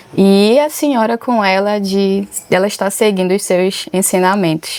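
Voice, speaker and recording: A woman with an unremarkable speaking voice talks at a fairly slow pace, her pitch medium with ordinary variation. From Alter do Chão, Pará, Brazil. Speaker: podcast host, dancer and choreographer. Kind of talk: interview.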